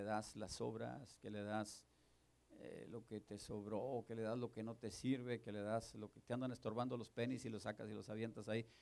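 This man has a medium pitch. He speaks with monotone, flat intonation. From northern Mexico. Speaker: pastor. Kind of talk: sermon.

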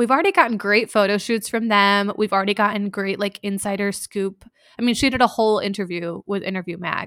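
A woman with an American accent has an unremarkable speaking voice at a medium pitch, talking at a fairly quick pace. Her intonation stays fairly even, and the sound is dry and close with no echo. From US Midwest. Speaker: podcast host. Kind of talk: casual chat.

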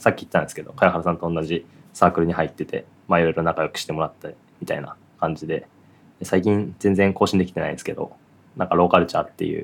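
A man races along at a very fast pace, his loudness swinging widely. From Japan, Aichi. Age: 20s. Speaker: podcast co-host and web engineer. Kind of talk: casual chat.

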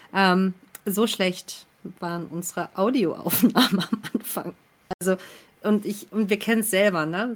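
With fairly even intonation and a medium pitch, the woman talks fairly slowly, leaving long, frequent pauses. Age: 30s. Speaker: actress. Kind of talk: casual chat.

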